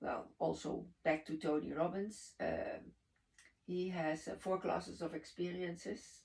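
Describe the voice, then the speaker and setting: A woman talks fairly slowly in a Dutch accent. Her voice has vocal fry. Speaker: network marketing leader. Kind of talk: podcast conversation. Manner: halting, searching for words.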